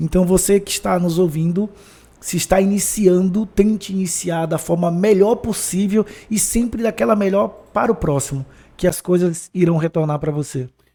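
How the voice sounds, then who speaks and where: Speaking with a Bahian accent, a man has a high pitch for a man and a dark, mellow tone. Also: ordinary pitch variation, moderate pace. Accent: Bahian, northeastern Brazilian. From Bahia, Brazil (Feira de Santana). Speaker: former footballer and sales speaker. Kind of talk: podcast interview.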